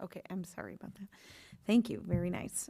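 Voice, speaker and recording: A woman talks in a fairly low pitch with a dark, mellow tone. The recording is very clean, with a silent background. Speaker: school board president. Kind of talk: public meeting chairing. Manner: fast.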